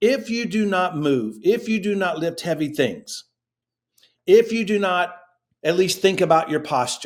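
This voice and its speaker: With lively intonation and an animated tone, a man speaks in a high pitch at a fairly slow pace. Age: 50s. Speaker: fitness education director. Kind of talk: interview.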